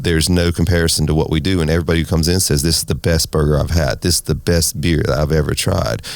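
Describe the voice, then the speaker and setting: Very deep and low, a man's voice races along at a very fast pace with an American accent, ordinary pitch variation and hardly any pauses. His loudness stays very even, with noticeable background noise behind him. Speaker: restaurant owner and race team owner. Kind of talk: interview.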